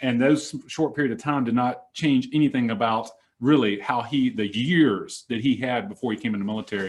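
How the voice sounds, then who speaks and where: Over a quiet background, the speech moves at a fairly quick pace with ordinary pitch variation. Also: man, medium pitch for a man. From Mississippi. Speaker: Air Force senior NCO, discussion host. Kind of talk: panel discussion. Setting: room with a small group, mics.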